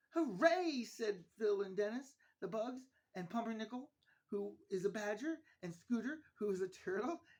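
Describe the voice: Lively intonation in plain reading aloud, set against a quiet background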